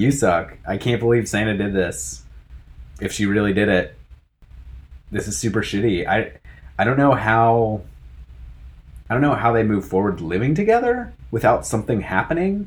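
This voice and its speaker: A man with an American accent speaks at a moderate pace in a fairly low pitch, with vocal fry, ordinary pitch variation, and long, frequent pauses. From United States. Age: 30s. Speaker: podcast co-host. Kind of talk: casual chat.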